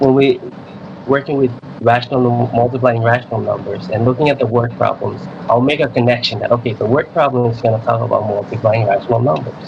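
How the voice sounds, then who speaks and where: Speaking at a fairly quick pace with a non-native accent, the voice shows ordinary pitch variation over noticeable background noise. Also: man. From Micronesia (Chuuk). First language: not English. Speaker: middle school math teacher. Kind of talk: radio interview. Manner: halting, many repeats.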